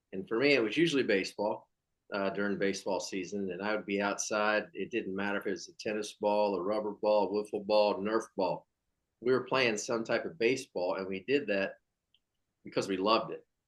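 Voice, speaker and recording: A man speaks fairly quickly in an unremarkable speaking voice. His fairly low pitch shows ordinary variation. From California. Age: 50s. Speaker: former pro baseball player. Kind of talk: interview.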